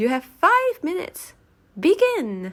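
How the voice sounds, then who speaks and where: A woman does a squeaky put-on character voice at an extremely high pitch. She speaks at a fairly slow pace with very wide pitch swings. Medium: read story. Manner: brisk, commanding.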